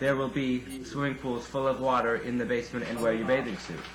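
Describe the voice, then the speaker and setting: At a fairly quick pace, a man of medium pitch talks over noticeable background noise. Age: 20s. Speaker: club promoter. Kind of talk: interview answer. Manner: calm, unaffected.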